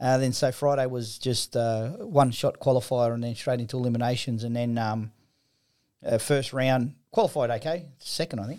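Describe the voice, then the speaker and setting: Speaking with an Australian accent, a man uses a dark, mellow tone and fairly even intonation. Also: medium pitch for a man, moderate pace. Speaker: footballer and drag racer. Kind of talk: casual chat. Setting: studio. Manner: halting.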